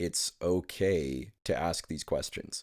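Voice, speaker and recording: This very clean recording, with a silent background, captures a man whose pitch is very deep and low. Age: 20s. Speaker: podcast host. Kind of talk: solo podcast monologue. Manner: hesitant with many fillers.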